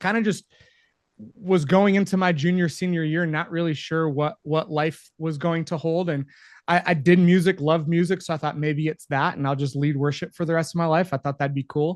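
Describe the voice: A fairly high-pitched man with an American accent. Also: fairly even intonation, moderate pace.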